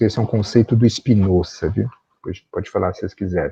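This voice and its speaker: A man speaking somewhat breathily, his pitch varying in an ordinary way. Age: 60s. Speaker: professor. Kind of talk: lecture. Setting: video call.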